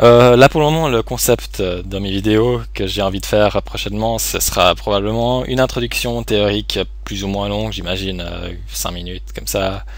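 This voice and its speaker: Against noticeable background noise, a man with a very deep, low voice speaks at a moderate pace with hardly any pauses and very wide pitch swings. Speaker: online poker player and streamer. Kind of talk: live gameplay commentary. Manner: halting, many fillers.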